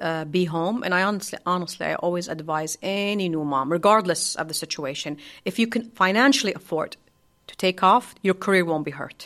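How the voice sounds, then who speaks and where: Speaking at a fairly quick pace and a medium pitch, a woman uses ordinary pitch variation while her loudness swings widely. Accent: Arabic. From Saudi Arabia, Hail (northern). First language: Arabic. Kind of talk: interview. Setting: studio.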